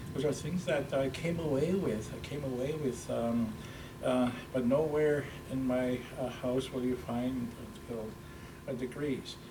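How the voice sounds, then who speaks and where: Noticeable background noise and audible room echo surround a man's medium-pitched voice. He speaks at a fairly slow pace with fairly even intonation. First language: Ojibwe. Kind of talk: interview. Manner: halting, many fillers and repetitions.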